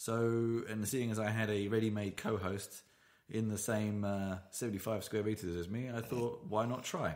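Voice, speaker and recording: Amid audible room echo, a man with a British accent speaks at a moderate pace with a fairly low pitch and fairly even intonation. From Britain. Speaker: podcast host. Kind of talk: casual chat. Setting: home studio, sharing one microphone. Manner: loud.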